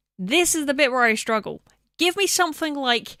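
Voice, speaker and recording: A woman with a high pitch projects a raised voice in a bright, sharp tone with very wide pitch swings. The sound is dry and close with no echo, and the recording is very clean with a silent background. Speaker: video game streamer. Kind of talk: casual live stream chat. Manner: mumbling.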